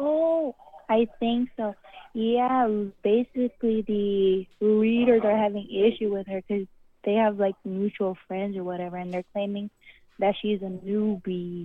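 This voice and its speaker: The speaker is a woman with a normal speaking voice at a medium pitch. She goes at a fairly slow pace with ordinary pitch variation. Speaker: caller seeking advice. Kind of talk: voicemail message. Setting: phone voicemail with dog barking.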